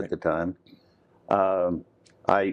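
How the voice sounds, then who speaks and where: A very deep, low male voice with an American accent, at a very slow pace. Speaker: mineral economist. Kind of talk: oral history interview answer. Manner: hesitant, casual.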